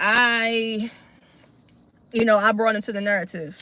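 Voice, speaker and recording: Delivered at a moderate pace, the voice has a Baltimore accent, a bright, sharp tone and an animated tone. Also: woman. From Baltimore, Maryland, US. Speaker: political commentary streamer. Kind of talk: live stream reaction and commentary. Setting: live stream. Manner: casual, animated.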